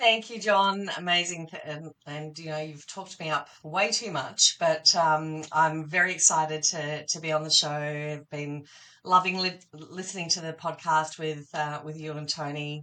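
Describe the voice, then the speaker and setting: Bright, sharp tone with an Australian accent, moderate pace, hardly any pauses, fairly even intonation and big swings in loudness. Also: woman, very deep, low pitch for a woman. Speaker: partner management professional. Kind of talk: podcast interview.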